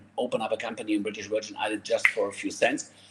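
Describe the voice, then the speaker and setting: A man is speaking. He has a German accent. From Germany. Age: 50s. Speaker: network marketer. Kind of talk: sales pitch. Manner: animated.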